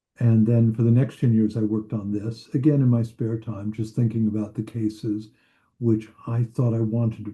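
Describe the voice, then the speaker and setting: A man with an American accent speaks at a moderate pace in a somewhat breathy, dark, mellow tone, medium-pitched and monotone with flat intonation. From US Midwest, northern Indiana. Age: 70s. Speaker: psychoanalyst and author. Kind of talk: interview.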